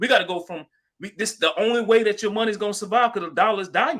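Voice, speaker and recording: Very fast and raised to carry, a man's high-pitched voice has a bright, sharp tone. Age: young. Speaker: crypto livestream host. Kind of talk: live stream discussion. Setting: live stream. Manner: animated.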